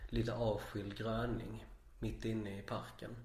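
A man at a very slow pace, somewhat breathy and monotone, with flat intonation and audible room echo. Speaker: podcast host. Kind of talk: casual interview.

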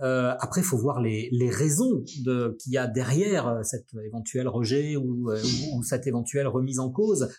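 A man with a medium-pitched voice and ordinary pitch variation talks at a fairly slow pace with hardly any pauses, against noticeable background noise. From Brittany, near Brest. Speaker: journalism school director and radio journalist. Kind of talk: interview. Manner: hesitant, many fillers and repetitions.

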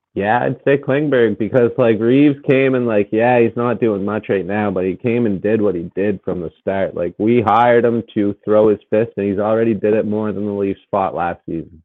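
A man with a Canadian accent speaks in an ordinary speaking voice at a moderate pace, his fairly low pitch showing ordinary variation, with hardly any pauses. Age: 30s. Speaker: podcast co-host. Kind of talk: casual chat.

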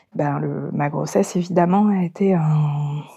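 The voice is a woman's, dark and mellow in tone. It is somewhat breathy, and the intonation is fairly even. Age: 40s. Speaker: mother giving testimony. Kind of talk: testimony. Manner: halting.

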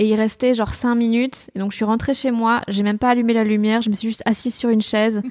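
A woman rattles along at a very fast pace with hardly any pauses, her fairly high pitch in monotone, flat intonation. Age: 20s. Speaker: comedian and radio columnist. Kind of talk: casual interview. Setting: at home.

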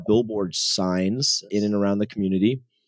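On a very clean recording with a silent background and dry, close sound with no echo, a man with an American accent speaks in an unremarkable speaking voice at fairly low pitch with fairly even intonation. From US West Coast, San Jose, California. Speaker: tech company founder. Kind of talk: casual interview. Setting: podcast interview.

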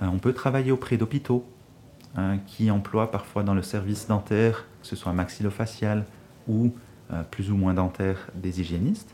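With a dark, mellow tone and fairly low pitch, a man speaks at a moderate pace with fairly even intonation and long, frequent pauses. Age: 30s. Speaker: dental hygienist. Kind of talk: interview about his job.

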